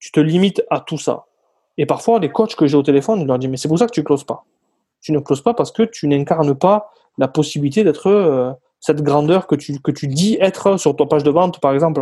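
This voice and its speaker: Speaking at a fairly quick pace, a man uses a fairly high pitch, a dark, mellow tone, a somewhat breathy quality and ordinary pitch variation. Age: 30s. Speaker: sales closer. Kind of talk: interview.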